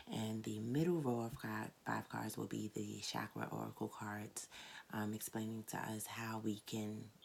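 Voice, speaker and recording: The speaker is soft-spoken. The pace is fairly slow. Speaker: tarot reader. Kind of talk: tarot reading monologue. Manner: casual, hesitant with many fillers.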